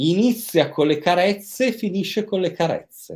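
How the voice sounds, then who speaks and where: His pitch is high for a man. This man speaks at a fairly slow pace with lively intonation. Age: 50s. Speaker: psychiatrist and sexologist. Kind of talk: interview. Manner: hesitant, frequent repetitions.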